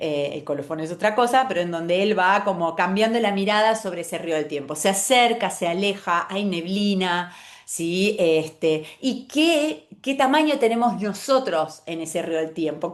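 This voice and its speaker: Room echo can be heard. A woman talks with lively intonation. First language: German (speaking Spanish). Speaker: calligrapher. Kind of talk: talk presenting own creative process. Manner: halting, many fillers and self-corrections.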